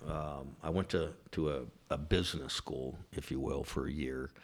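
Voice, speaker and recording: A man talks at a fairly slow pace with a Californian accent. The recording is very clean with a silent background. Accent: General American (Californian). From Southern California, Orange County. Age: 50s. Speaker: business owner. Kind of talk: casual interview. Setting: office.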